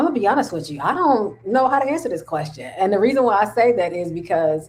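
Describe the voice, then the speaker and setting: A woman talks loudly at a very fast pace. Her medium pitch moves in very wide swings. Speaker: podcast co-host. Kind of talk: casual chat. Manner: boisterous.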